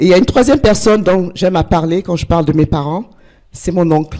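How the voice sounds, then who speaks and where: A woman's fairly low voice with a dark, mellow tone and ordinary pitch variation. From Togo (West Africa). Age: 60s. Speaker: life coach, conference speaker. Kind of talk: personal testimony talk. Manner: halting, with fillers.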